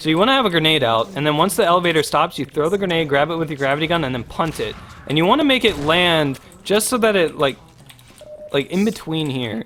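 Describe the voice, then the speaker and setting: Over music in the background, a man talks at a very fast pace with lively intonation and a fairly high pitch. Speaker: gaming streamer. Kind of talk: tutorial. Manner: casual, hesitant with fillers.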